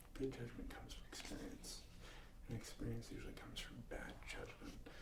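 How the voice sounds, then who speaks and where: The man is soft-spoken. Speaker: ASMR creator. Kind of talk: ASMR soft-spoken talk to camera.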